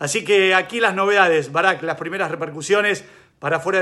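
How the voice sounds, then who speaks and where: A man with a Rioplatense accent and a bright, sharp tone. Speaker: sports reporter. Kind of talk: news report.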